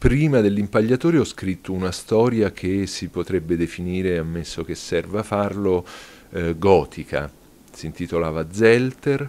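A man's very deep, low voice with a dark, mellow tone, ordinary pitch variation and a fairly slow pace. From Rome, Italy; Italy. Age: 40s. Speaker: novelist. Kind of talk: interview monologue. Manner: hesitant with fillers. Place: home room.

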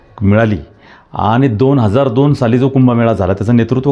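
A man with an unremarkable speaking voice, medium pitch and lively intonation. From Trimbakeshwar, Nashik district, Maharashtra, India. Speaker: local politician and temple trust trustee. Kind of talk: interview.

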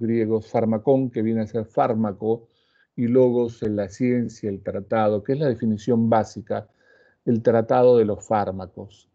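Over a quiet background, a man takes his time at a fairly slow pace. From Peru. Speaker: cardiologist and pharmacology professor; pharmacology professor. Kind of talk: lecture. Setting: online class video call. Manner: formal. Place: home room. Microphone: earbuds.

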